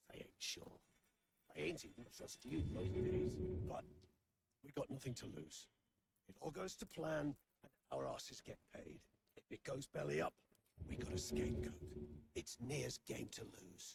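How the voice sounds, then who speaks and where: A man speaks in a put-on character voice, raspy and very deep in pitch. He keeps a moderate pace with long, frequent pauses. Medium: video game. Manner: blunt, coarse.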